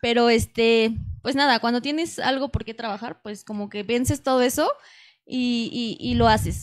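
Her voice is a plain, everyday voice, fairly high in pitch for a woman. She keeps a moderate pace and fairly even intonation. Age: 20s. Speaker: radio announcer and model. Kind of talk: casual interview.

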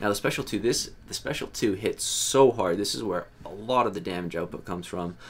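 Fairly low male pitch, ordinary variation, moderate pace. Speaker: gaming streamer. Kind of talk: game guide commentary. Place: home room. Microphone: headset.

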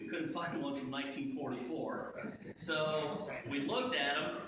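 A man with an American accent speaks at a moderate pace in a fairly high voice, his intonation lively, over light background noise and strong room echo. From Ohio, USA. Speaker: school superintendent. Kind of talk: ceremonial presentation speech. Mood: warm, respectful. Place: hall. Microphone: camera far.

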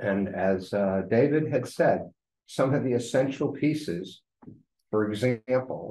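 In a room with audible echo, a man with a dark, mellow tone speaks at a fairly slow pace with ordinary pitch variation. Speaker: resident giving public comment. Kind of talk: public comment at meeting. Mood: critical, persuasive. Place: meeting room. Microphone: podium.

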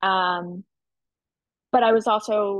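A woman with an American accent and monotone, flat intonation, dry sound with no echo against a quiet background. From Philadelphia. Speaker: medical student; presenter. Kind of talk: panel Q&A. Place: home room. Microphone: webcam.

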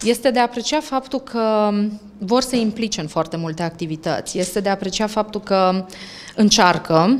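This is a woman with a normal speaking voice. Her pitch is medium and her pace moderate. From Romania. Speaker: language center owner, author; interviewee. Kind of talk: interview. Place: shop. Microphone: handheld.

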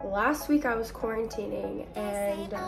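The voice shows ordinary pitch variation, with clear music playing in the background. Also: woman. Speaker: vlogger. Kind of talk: casual vlog chat. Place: home room. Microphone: phone near.

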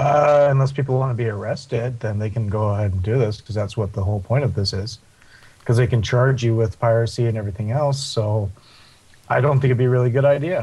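A very fast, somewhat breathy man's voice at a medium pitch, with a dark, mellow tone, ordinary pitch variation and a Canadian accent. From Canada. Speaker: gaming podcast panelist. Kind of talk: casual chat.

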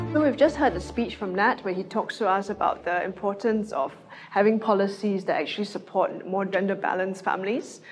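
Faint music plays in the background as a woman talks at a fairly quick pace with ordinary pitch variation. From Singapore. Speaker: political candidate, moderator; panel moderator, candidate. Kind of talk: online political rally panel discussion. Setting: online video broadcast. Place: studio. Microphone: lapel.

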